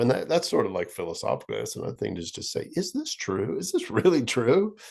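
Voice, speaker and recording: Here a man talks at a fairly quick pace. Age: 50s. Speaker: musician. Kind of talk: casual chat.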